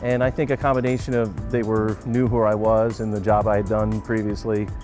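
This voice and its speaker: A man talks at a fairly quick pace with a fairly low pitch. His intonation stays fairly even, with music playing in the background. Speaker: stadium public address announcer. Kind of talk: interview answer.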